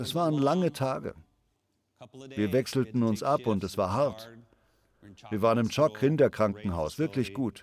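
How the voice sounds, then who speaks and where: A man at a medium pitch talks at a moderate pace with lively intonation and long, frequent pauses. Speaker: preacher. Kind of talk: sermon. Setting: church. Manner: animated, conversational, persuasive; warm, self-deprecating, humorous.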